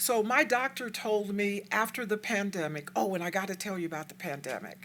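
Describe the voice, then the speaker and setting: Using a plain, everyday voice, a woman with an American accent talks at a moderate pace and medium pitch with lively intonation. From Texas, El Paso. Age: 60s. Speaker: community activist speaker. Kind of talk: lecture. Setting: stage with audience.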